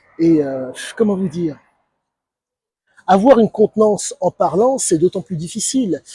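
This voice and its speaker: A dark, mellow voice moves at a fairly slow pace with lively intonation and long, frequent pauses, recorded dry and close with no echo. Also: man, high pitch for a man. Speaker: YouTuber commentator. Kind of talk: monologue commentary video. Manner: calm, measured; halting, many fillers.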